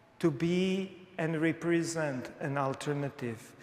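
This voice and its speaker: Someone with a non-native accent speaks at a very slow pace with ordinary pitch variation. Noticeable background noise runs underneath. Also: man. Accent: unmistakably foreign. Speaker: pastor. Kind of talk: sermon. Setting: church.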